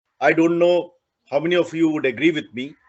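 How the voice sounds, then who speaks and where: A man speaks with a high-pitched voice. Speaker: university professor. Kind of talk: speech at virtual celebration. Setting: video call. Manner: halting, many fillers.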